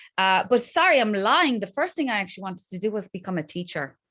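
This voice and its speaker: The recording is very clean, with a silent background. A woman with a slight Polish accent speaks at medium pitch in a bright, sharp tone with lively intonation. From Poland. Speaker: crypto influencer. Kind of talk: podcast interview. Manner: halting.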